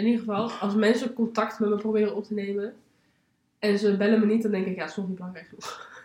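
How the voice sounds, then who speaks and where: Very fast delivery with fairly even intonation. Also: woman, medium pitch for a woman. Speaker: podcast co-host. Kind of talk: casual chat.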